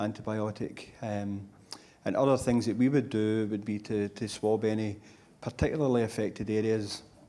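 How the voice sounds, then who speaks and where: A man talks at a moderate pace in a dark, mellow tone. His intonation is monotone and flat. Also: fairly low pitch for a man. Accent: Scottish. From Scotland. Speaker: lung cancer clinician. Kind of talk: panel discussion.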